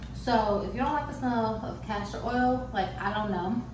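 A woman talks at a moderate pace amid noticeable background noise and audible room echo. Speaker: beauty vlogger. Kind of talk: casual vlog chat. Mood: frank, a bit emphatic. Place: kitchen.

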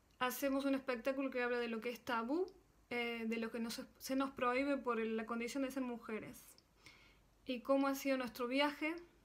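Her voice is high-pitched, with fairly even intonation. The woman keeps a moderate pace. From Argentina, Córdoba; Argentina. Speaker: percussionist and singer. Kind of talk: recorded video greeting. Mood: warm, smiling. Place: home room. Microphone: phone near.

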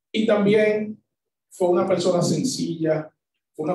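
Over light background noise and audible room echo, a man speaks very slowly in a dark, mellow tone with fairly even intonation. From Dominican Republic. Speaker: short story writer; conference speaker. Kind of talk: talk; lecture. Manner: halting. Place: hall.

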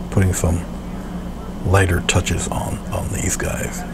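A soft-spoken man talks at a moderate pace over noticeable background noise. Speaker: painter and art tutorial presenter; presenter. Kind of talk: tutorial. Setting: video recording of painting demonstration. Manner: halting, with frequent filler words.

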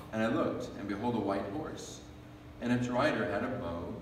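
A man speaks at a moderate pace. There is audible room echo and noticeable background noise. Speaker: worship leader. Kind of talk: reading aloud. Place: church. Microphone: podium.

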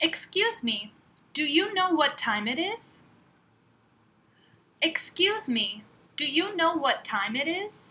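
At a very slow pace with long, frequent pauses, a woman with an American accent projects a raised voice at an extremely high pitch, her tone bright and sharp and her pitch swinging very widely. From California. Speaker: English teacher. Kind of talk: language lesson phrase reading. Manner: slow, clear.

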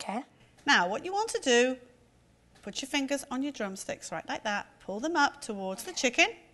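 A woman projects her voice in a raised, bright, sharp tone. She keeps to a moderate pace. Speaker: cooking show host. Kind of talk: tutorial. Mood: warm, encouraging. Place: kitchen. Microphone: lapel.

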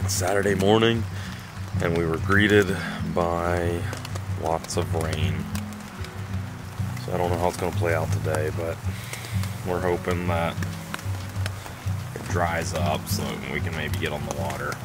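Fairly slow speech with long, frequent pauses, under loud background noise. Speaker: camper vlogger. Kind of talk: casual vlog chat. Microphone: phone near.

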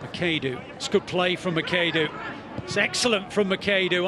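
This man talks in a raised, projected voice with a British accent, keeping a moderate pace over noticeable background noise. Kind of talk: live football commentary. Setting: stadium match commentary.

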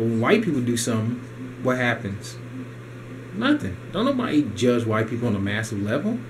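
Noticeable noise sits in the background. The intonation stays fairly even. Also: man, medium pitch for a man. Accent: American. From United States. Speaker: video blogger ranting about economy. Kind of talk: angry rant. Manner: indignant, fast-paced, repetitive, emphatic. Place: home room. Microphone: camera far.

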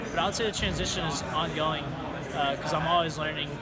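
A man speaks with music in the background. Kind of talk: interview answer. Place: gym.

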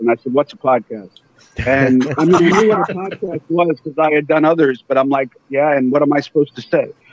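The speech moves at a fairly quick pace with ordinary pitch variation. The sound is dry with no echo, though there is noticeable background noise. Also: man, fairly high pitch for a man. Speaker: wrestling ring announcer and podcast host. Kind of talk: interview answer. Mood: relaxed storytelling. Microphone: video call.

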